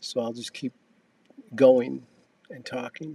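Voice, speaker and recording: Medium in pitch, a man's voice moves at a moderate pace with a dry, close sound and no echo. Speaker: podcast host and author. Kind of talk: casual chat. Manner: talkative, fills silence.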